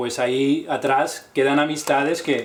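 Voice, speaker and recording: A man of medium pitch speaks with a Castilian accent and fairly even intonation, with audible room echo and noticeable background noise. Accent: Spanish (Castilian) accent with distinción. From Spain, Barcelona. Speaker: painter. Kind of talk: interview. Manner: halting, with fillers and repetitions.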